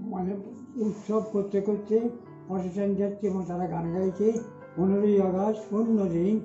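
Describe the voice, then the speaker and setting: With faint music in the background and audible room echo, a man talks in a high voice. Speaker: oral history witness. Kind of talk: oral history recollection. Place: home room. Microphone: earbuds.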